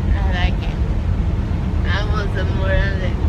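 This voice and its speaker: A man speaks at a moderate pace. Loud background noise runs beneath him. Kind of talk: casual vlog chat. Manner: dopey, slurred anesthesia speech. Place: car. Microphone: phone near.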